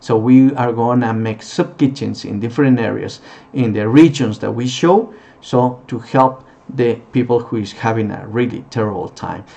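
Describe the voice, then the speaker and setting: With a non-native accent, a man talks in fairly even intonation. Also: medium pitch for a man, moderate pace. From Peru. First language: Spanish. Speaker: non-profit founder, former tour guide. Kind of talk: charity appeal. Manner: halting.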